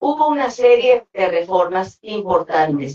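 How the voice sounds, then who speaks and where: The speaker moves at a very slow pace. The intonation is lively throughout. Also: woman. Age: 70s. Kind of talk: speech. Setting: conference with audience.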